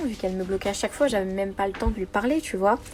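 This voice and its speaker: Noticeable noise fills the background while someone talks very fast. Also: woman. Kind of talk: voice message testimony. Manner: casual, slangy.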